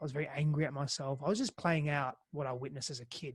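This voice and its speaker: A man speaks at a fairly quick pace with an Australian accent, his pitch fairly high and his voice somewhat breathy. The recording is very clean, with a silent background. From Greece, then Australia. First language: Greek. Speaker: intimacy and relationship coach. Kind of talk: podcast interview. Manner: halting, frequent repetitions.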